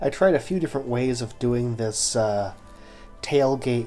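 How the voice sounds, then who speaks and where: Over music in the background, the speaker uses ordinary pitch variation. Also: man. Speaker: car design game builder. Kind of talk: casual gameplay commentary.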